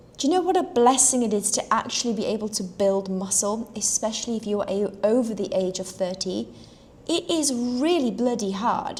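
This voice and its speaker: A woman speaks with a South African accent at a fairly high pitch. Her intonation is lively, her pace moderate, and there is noticeable background noise. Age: 30s. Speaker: health and fitness coach for horsewomen. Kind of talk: live stream talk to viewers.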